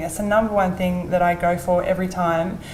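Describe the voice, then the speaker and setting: A woman talks at a moderate pace with medium pitch and flat, monotone intonation. Audible room echo and noticeable background noise fill the recording. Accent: Australian. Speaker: real estate agent. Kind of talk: interview. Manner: halting, repeats words.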